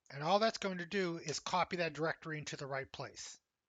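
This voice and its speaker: Talking at a moderate pace, a man with a Pennsylvania accent uses a high pitch with ordinary pitch variation. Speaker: college instructor. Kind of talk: tutorial.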